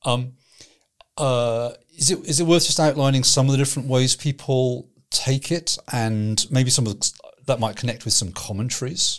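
Here is an unremarkable speaking voice from a man at a medium pitch. He talks at a moderate pace with ordinary pitch variation. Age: 50s. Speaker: pastor and theology trainer. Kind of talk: casual theological discussion.

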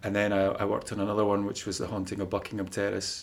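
A man speaks with a Scottish accent. His pitch sits fairly low. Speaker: paranormal content creator. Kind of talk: casual chat. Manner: monotone.

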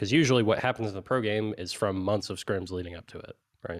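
On a very clean recording with a silent background, a man with a fairly low pitch speaks at a fairly quick pace in a plain, everyday voice with ordinary pitch variation. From Canada. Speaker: esports analyst co-host. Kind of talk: casual chat. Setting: studio.

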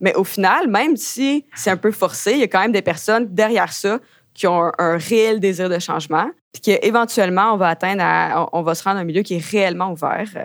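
A woman with a Quebec accent at a fairly quick pace on a very clean recording with a silent background. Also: medium pitch for a woman, ordinary pitch variation. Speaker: graduate student. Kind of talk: interview testimony. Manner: hesitant, filler-heavy.

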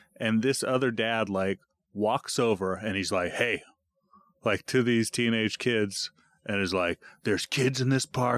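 A man with an unremarkable speaking voice talks at a fairly slow pace and medium pitch, his intonation fairly even, in a dry, close sound with no echo. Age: 30s. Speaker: podcast host. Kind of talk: casual chat.

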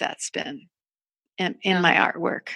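This woman's voice sounds dry and close, with no echo at all. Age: 60s. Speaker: artist and creativity coach. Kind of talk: interview conversation. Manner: halting.

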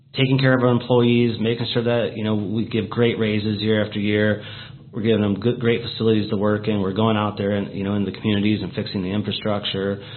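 A very fast man with a Midwestern American accent, fairly low pitch and monotone, flat intonation, with audible room echo. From Portage Township, northwest Indiana. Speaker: county council president. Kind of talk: radio interview.

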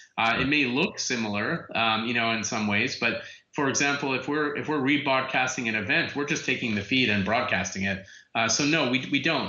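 In a room with audible echo, a man talks at a fairly quick pace and medium pitch, with ordinary pitch variation and very even loudness. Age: 40s. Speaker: tech entrepreneur. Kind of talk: interview. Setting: phone or video call.

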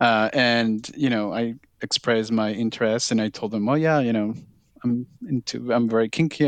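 A man with a Spanish accent speaks at a moderate pace and medium pitch. His pitch varies in an ordinary way, and the sound is dry and close with no echo. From Peru. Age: 30s. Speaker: leather titleholder. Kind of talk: casual interview.

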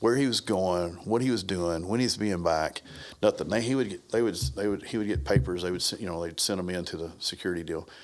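Lively intonation carries speech that moves along at a fairly quick pace. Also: man. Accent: Southern US. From US South (Brownsville, Tennessee). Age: 50s. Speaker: martial arts instructor. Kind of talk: casual chat.

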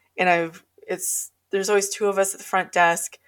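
A woman with an Alaskan accent speaks at a moderate pace and a medium pitch. The recording is very clean, the background silent. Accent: Alaskan American English. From Alaska, North Pole. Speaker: paranormal researcher and author. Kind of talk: casual interview storytelling.

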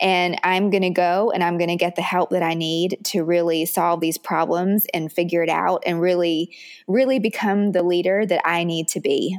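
In an American accent, a woman speaks at a fairly low pitch with monotone, flat intonation and very even loudness. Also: moderate pace, hardly any pauses. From US South, Richmond, Virginia. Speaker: business coach. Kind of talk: interview.

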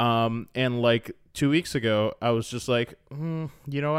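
An ordinary speaking voice from a man with an American accent, medium in pitch, with ordinary pitch variation, on a very clean recording with a silent background. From Florida. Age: 30s. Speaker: podcast co-host. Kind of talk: casual chat.

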